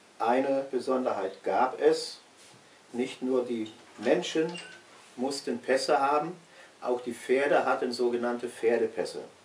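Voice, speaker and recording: A man speaks at a fairly slow pace with fairly even intonation and long, frequent pauses. Light background noise and audible room echo are present. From West Prussia. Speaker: eyewitness recalling his childhood homeland; witness. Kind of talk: historical recollection in an interview. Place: home room. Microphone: camera far.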